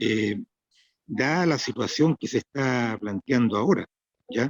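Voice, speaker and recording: A man's plain, everyday voice, medium in pitch with ordinary pitch variation, fairly slow, in dry, close sound with no echo. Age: 60s. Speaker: interviewer. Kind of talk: interview.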